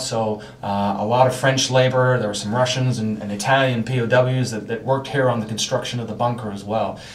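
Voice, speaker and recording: A man talks fairly quickly, and audible room echo surrounds his words. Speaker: site guide. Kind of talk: guided tour explanation. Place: tunnel cave.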